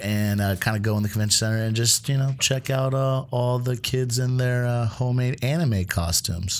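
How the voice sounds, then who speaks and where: A man at a medium pitch and moderate pace, hardly any pauses, very even loudness and ordinary pitch variation. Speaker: producer filling in as co-host. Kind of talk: casual chat. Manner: loud, casual.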